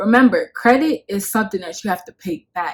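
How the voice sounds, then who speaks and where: A woman with a New York accent, fairly quick pace, quiet background. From Bronx, New York. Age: 20s. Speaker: lifestyle YouTuber. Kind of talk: casual talk to camera. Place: home room. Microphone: phone near.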